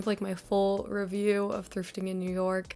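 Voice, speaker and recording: On a very clean recording, a woman talks against a silent background. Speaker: thrifting vlogger. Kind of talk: vlog narration. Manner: casual.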